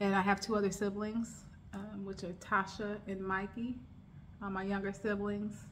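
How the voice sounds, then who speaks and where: In a relaxed, somewhat breathy tone, a woman speaks at a moderate pace with a medium pitch and monotone, flat intonation, in an American accent. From United States. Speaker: lifestyle vlogger. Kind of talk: casual chat. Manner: relaxed, filler-heavy.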